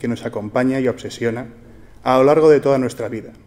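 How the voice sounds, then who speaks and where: Talking at a fairly quick pace, a man keeps his intonation fairly even. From Spain. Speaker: entrepreneur and book author. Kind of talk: formal speech. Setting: stage with audience. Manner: formal. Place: hall. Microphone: podium.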